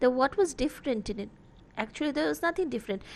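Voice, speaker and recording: With a Bengali accent and lively intonation, a woman speaks against a quiet background. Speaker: college literature teacher. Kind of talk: lecture. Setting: online class recording. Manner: halting, many fillers.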